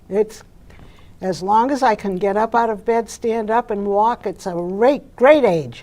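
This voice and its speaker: With a Boston accent, a woman speaks at a fairly slow pace in a dark, mellow tone with a fairly high pitch. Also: ordinary pitch variation. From Boston, Massachusetts. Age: 80s+. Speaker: interviewee. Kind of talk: interview.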